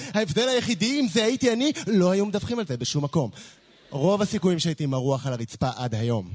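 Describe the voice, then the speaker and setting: Pitch swings very widely throughout. The words come at a very fast pace. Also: man, high pitch for a man. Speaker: slam poet. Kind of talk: spoken word poetry. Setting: stage with audience.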